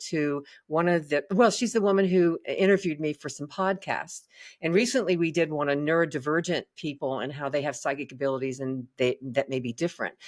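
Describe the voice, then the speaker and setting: This woman speaks at a fairly quick pace in a Southern US accent, her pitch very deep and low. Her intonation is lively and the background is quiet. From US South. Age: 70s. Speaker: psychic reader. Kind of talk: interview.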